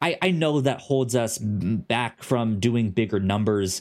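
A man speaks at medium pitch with a slightly mellow tone. His pace is fairly slow and his intonation is lively.

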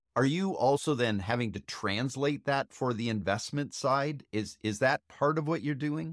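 A man with an American accent has an unremarkable speaking voice at a medium pitch with ordinary pitch variation. He speaks with hardly any pauses, in a dry, close sound with no echo. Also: moderate pace. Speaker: podcast host. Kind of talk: casual interview. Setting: video call.

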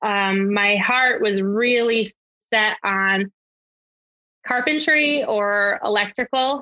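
A woman with an American accent and a fairly high pitch speaks at a very slow pace with long, frequent pauses. Her loudness stays very even, and her pitch varies in an ordinary way. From Connecticut. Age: 30s. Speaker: electrical apprentice. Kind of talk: casual interview.

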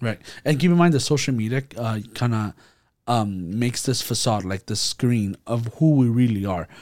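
In a very clean recording with a silent background, a man speaks at a moderate pace. His voice is an unremarkable speaking voice, medium in pitch with ordinary pitch variation. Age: 20s. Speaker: youth podcast co-host. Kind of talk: casual faith discussion.

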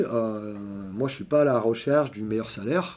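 With a dark, mellow tone, a man speaks at a moderate pace and with ordinary pitch variation. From southern France, Montpellier. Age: 50s. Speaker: senior software developer. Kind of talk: interview.

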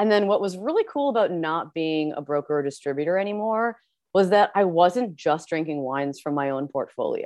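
A woman with a fairly low pitch and lively intonation speaks at a fairly quick pace. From Canada. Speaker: wine business owner. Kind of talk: casual chat. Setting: video call. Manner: animated.

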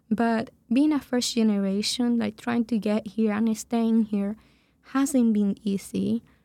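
A woman's fairly high, dark, mellow voice with a Spanish accent, fairly slow pace, fairly even intonation and very even loudness. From Venezuela. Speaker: program director. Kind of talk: casual interview.

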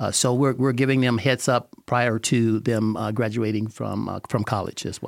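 Speaking at a moderate pace with hardly any pauses, the man keeps a monotone, flat intonation. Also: medium pitch for a man. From Northern Louisiana. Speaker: architect. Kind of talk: radio interview. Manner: halting, with many repetitions.

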